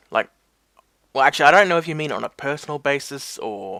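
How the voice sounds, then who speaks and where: In an Australian accent, a man with a fairly high pitch speaks with lively intonation and a bright, sharp tone, the sound dry and close with no echo. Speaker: wrestling mashup creator. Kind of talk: casual Q&A talk to camera.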